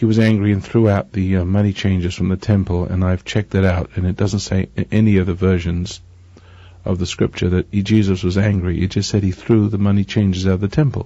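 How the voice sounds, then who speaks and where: Over a quiet background, a man with an English accent speaks at a fairly quick pace in a very deep, low voice with monotone, flat intonation. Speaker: radio preacher. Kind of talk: sermon. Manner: halting.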